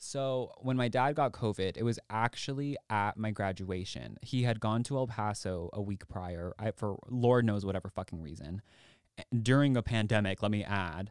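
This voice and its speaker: A man with an American accent and an ordinary speaking voice talks at a moderate pace and fairly low pitch with ordinary pitch variation, in a very clean recording with a silent background. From Texas, Austin. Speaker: podcast host. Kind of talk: casual chat.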